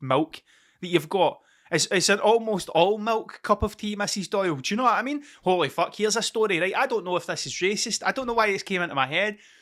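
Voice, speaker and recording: A man talks in an animated, raised and projected voice with a Scottish accent and a bright, sharp tone. His pace is very fast, and the recording is very clean with a silent background. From Scotland. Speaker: podcaster. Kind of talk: casual monologue. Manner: rambling, sweary and animated.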